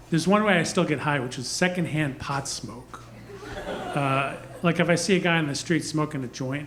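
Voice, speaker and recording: Noticeable background noise and audible room echo surround a man speaking at a moderate pace with long, frequent pauses. His pitch is fairly high, with ordinary variation. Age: 60s. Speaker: stand-up comedian. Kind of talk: stand-up. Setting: stage with audience.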